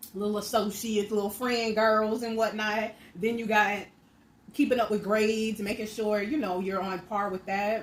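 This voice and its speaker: Speaking with an American accent, a woman keeps a moderate pace. Her intonation is monotone and flat. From Miami, Florida. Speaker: mukbang creator. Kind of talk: casual talk to camera while eating.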